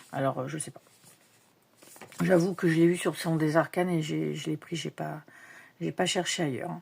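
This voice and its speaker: Very deep and low in pitch, a woman speaks with vocal fry at a moderate pace, her intonation fairly even, with long, frequent pauses and big swings in loudness. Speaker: tarot and oracle card youtuber. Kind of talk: casual unboxing show-and-tell. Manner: hesitant, many fillers.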